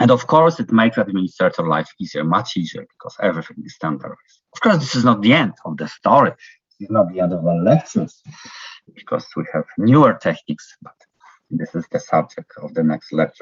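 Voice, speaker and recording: A man with a non-native accent talks at a fairly quick pace, his loudness swinging widely. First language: not English. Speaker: university lecturer. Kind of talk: lecture. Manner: halting, many fillers.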